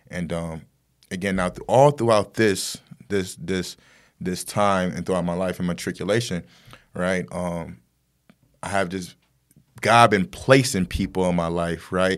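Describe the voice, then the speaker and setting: In a very clean recording with a silent background, a man with an American accent and a very deep, low pitch talks at a fairly slow pace, with ordinary pitch variation and long, frequent pauses. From Buffalo, New York (east side). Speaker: nonprofit founder and executive director. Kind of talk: interview. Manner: hesitant, many fillers.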